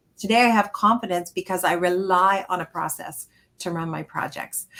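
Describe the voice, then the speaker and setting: Her tone bright and sharp, a woman speaks at a medium pitch. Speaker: interior designer and business coach. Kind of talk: webinar interview. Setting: live video webinar. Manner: fast; animated.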